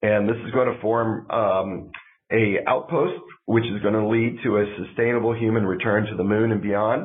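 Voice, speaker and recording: A man speaks at a medium pitch with fairly even intonation. Audible echo fills the room. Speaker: aerospace engineer presenting a spacecraft program. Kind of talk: technical presentation. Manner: halting, many fillers.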